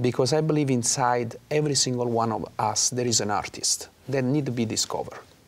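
A man talks with a medium-pitched voice. He moves at a fairly quick pace with hardly any pauses. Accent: Italian. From Naples, Italy. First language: Italian. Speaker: opera singer. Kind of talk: interview. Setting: studio. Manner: animated. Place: studio. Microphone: lapel.

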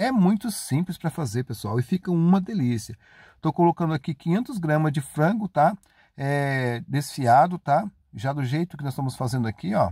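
A man speaks at a moderate pace in a fairly high, somewhat breathy voice with a dark, mellow tone. The sound is dry and close with no echo, on a very clean recording with a silent background. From Paraná, Brazil. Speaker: cooking video host. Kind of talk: recipe tutorial. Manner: chatty, conversational.

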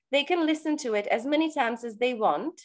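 The background stays quiet. A woman talks with lively intonation. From Czech Republic. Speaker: language coach. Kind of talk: interview. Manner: animated. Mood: warm, enthusiastic. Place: home room. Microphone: video call.

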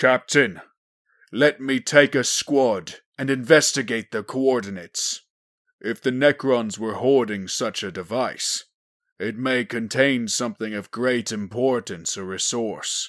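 Using a put-on character voice, a man growls at a fairly slow pace and a medium pitch. The recording is very clean, with a silent background. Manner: methodical, commanding.

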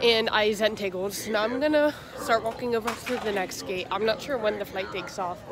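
With noticeable background noise, a woman speaks at a moderate pace and ordinary pitch variation, the sound dry with no echo. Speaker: travel vlogger. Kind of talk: casual vlog chat. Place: station. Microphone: phone near.

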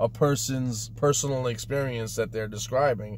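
A man speaks with a somewhat breathy voice and ordinary pitch variation. The sound is dry with no echo, over light background noise. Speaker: car enthusiast vlogger. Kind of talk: casual vlog chat. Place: car. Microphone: earbuds.

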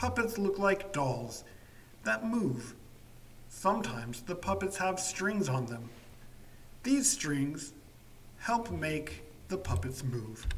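Noticeable background noise sits under the speech. The pace is very slow, with long, frequent pauses. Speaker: English teacher. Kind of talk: slow story reading for language learners. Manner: slow, clear.

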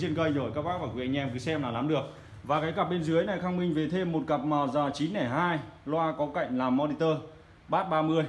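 A man's delivery holds a moderate pace, and his pitch changes in an ordinary way. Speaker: audio equipment seller. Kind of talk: product showcase commentary. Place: shop. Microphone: phone near.

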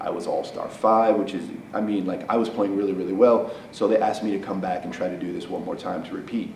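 Over light background noise and audible room echo, a man with a fairly low pitch speaks at a very fast pace with hardly any pauses and fairly even intonation. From Council Bluffs, Iowa, US Midwest; Iowa. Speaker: wheelchair basketball player. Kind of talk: news interview. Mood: earnest, reflective. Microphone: lapel.

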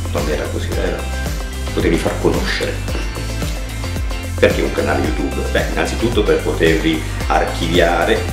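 Clear music plays in the background as a man speaks at a moderate pace with long, frequent pauses, with audible room echo. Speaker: actor and reading teacher. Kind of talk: outtakes, casual off-script talk. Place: home room.

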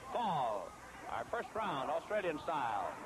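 The sound is dry with no echo, but noticeable background noise is present. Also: man. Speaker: wrestling commentator. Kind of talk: live sports play-by-play commentary.

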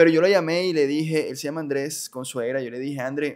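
Fairly even intonation at a moderate pace, with a quiet background. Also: man. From Colombia, Barranquilla; Colombia. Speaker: industrial engineer and church group leader; podcast guest. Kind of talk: personal testimony in interview. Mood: reflective, earnest. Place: studio. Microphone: studio mic.

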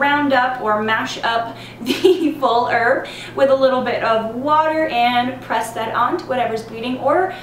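A woman's high-pitched voice at a fairly slow pace, with ordinary pitch variation, audible room echo and light background noise. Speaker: herbal blogger. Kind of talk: tutorial. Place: home room.

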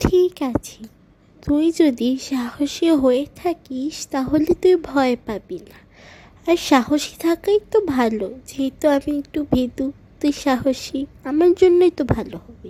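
In a cartoonish character voice, a female-sounding speaker talks at a fairly slow pace with a high pitch. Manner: teasing.

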